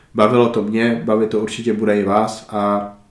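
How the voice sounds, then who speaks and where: Fairly low in pitch, a man speaks with monotone, flat intonation. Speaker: podcast host. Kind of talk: casual interview.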